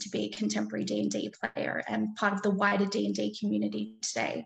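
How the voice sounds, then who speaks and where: At a fairly quick clip, a woman is talking. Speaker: game studies researcher. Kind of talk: conference presentation. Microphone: webcam.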